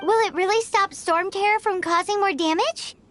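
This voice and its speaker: A squeaky, put-on character voice at an extremely high pitch runs at a moderate pace. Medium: video game.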